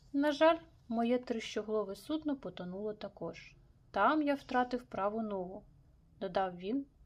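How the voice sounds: Reading aloud, in a natural voice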